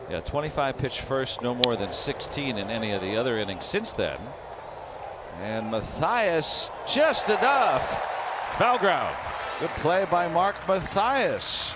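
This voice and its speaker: A man at a fairly high pitch talks very slowly with very wide pitch swings, over noticeable background noise. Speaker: baseball broadcaster. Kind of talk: live sports commentary, analyst banter. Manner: upbeat, conversational, excited on homers.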